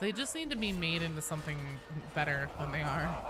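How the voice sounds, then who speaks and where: A woman's voice moves in very wide pitch swings. Noticeable background noise is present. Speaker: gaming streamer. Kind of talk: casual chat. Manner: casual, rambling.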